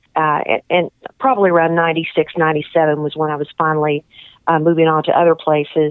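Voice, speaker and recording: With a fairly low pitch and a plain, everyday voice, a woman talks at a moderate pace. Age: 50s. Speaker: TV show producer and singer. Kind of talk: radio interview. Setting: radio studio.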